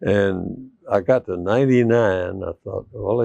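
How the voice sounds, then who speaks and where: A man with an American accent speaks in a dark, mellow tone with ordinary pitch variation. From US South, East Tennessee. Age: 80s+. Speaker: church member, retired engineer and veteran. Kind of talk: interview. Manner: halting.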